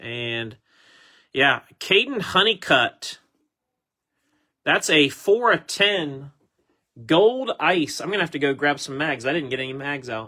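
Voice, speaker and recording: Speaking at a fairly slow pace with long, frequent pauses, a man uses lively intonation and a fairly high pitch in a bright, sharp tone, on a very clean recording with a silent background. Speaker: sports card group break host. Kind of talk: live card break commentary. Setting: home recording room. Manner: slightly slurred.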